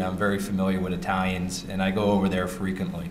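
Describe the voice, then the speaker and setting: With an American accent, a man speaks at a fairly low pitch amid audible room echo and music in the background. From New York City. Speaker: wine importer, company founder. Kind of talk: panel talk at trade conference. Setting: stage with audience.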